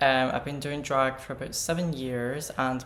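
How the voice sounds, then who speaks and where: A man speaks with a Scottish accent and fairly even intonation. Audible room echo surrounds his voice. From Scottish Highlands. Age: 20s. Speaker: drag artist. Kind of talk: casual interview.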